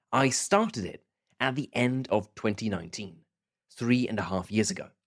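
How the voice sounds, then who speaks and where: The intonation is lively. The speaker has a British accent. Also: man, medium pitch for a man, moderate pace. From southern England and Scotland. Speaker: podcast host. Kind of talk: podcast monologue. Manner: clear, measured pace for learners.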